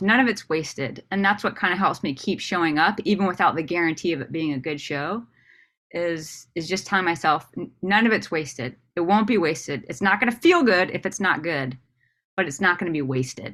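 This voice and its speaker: With an American accent, a woman speaks at a fairly quick pace in a bright, sharp, animated tone, her intonation lively and her pitch fairly low, on a very clean recording with a silent background. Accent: Southern, thick when nervous on stage. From US South. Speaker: comedian. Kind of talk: casual interview chat.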